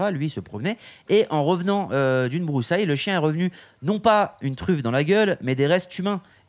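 A man with a high pitch talks at a fairly quick pace, his intonation lively. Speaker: podcast host. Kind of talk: casual chat. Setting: live from hotel at ski resort.

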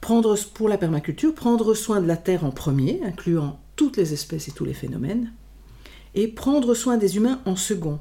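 At a moderate pace, the voice sounds somewhat breathy, with a dark, mellow tone and very wide pitch swings. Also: woman, medium pitch for a woman. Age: 60s. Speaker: podcast host and group facilitator. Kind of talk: conversational interview. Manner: hesitant, many repetitions and fillers.

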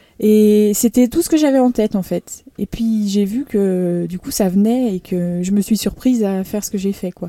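The voice is a normal speaking voice at a moderate pace, with ordinary pitch variation and hardly any pauses. The sound is dry and close, with no echo. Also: woman, medium pitch for a woman. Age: 30s. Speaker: professional triathlete. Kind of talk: interview. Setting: on location at the race.

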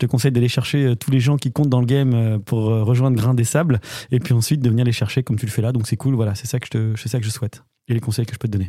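Somewhat breathy and dark, mellow in tone, a man talks at a very fast pace with a medium pitch. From western France (Normandy, then Angers). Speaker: business club director, former radio co-host. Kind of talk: casual chat.

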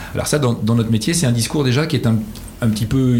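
A man speaks over noticeable background noise. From northern France (Picardy, Amiens). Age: 50s. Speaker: company CEO. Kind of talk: interview. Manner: enthusiastic.

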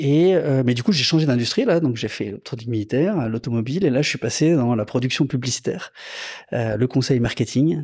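With lively intonation, a man talks at medium pitch and a moderate pace. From Lyon region, France. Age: 50s. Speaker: motorcycle dealership manager. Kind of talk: casual interview. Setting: motorcycle dealership. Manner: hesitant, many fillers.

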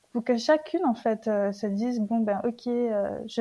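A woman's somewhat breathy, dark and mellow voice with fairly even intonation. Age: 30s. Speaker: social worker sharing her endometriosis story. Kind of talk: testimony.

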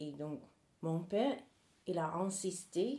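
A woman's very slow delivery with an English accent, a dark, mellow tone, ordinary pitch variation and audible room echo. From US South, North Carolina. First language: English (speaking French). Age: 40s. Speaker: human rights activist. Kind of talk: interview testimony.

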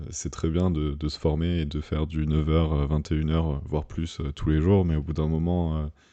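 Against a quiet background, a man with a very deep, low pitch and a dark, mellow tone speaks with monotone, flat intonation. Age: 30s. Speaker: padel coach and app co-founder. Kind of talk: interview.

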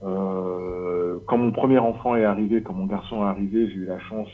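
A man uses a normal speaking voice with a fairly low pitch, moving at a moderate pace. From Paris region, France. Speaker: leather craftsman. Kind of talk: casual interview.

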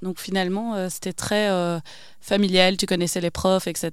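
The speaker has a Belgian accent. The recording is very clean, with a silent background. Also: woman. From Belgium, Wavre (Walloon Brabant). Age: 30s. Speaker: entrepreneur. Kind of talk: interview. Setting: studio.

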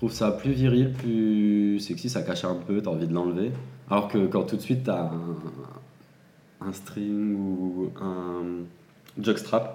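The speech moves at a very slow pace with long, frequent pauses and ordinary pitch variation. Audible room echo and noticeable background noise fill the recording. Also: man, fairly low pitch for a man. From France, Seine-et-Marne. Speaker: adult content creator. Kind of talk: casual chat.

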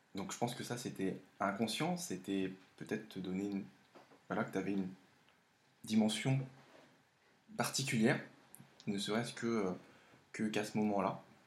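At a moderate pace, a man talks with long, frequent pauses and ordinary pitch variation. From France, of Laotian parents. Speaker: host's partner. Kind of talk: casual chat. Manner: halting.

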